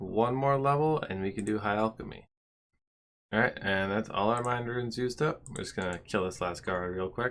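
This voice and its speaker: Delivered at a moderate pace, a normal speaking voice moves with ordinary pitch variation. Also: man. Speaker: gaming video host. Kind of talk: gameplay commentary. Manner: casual.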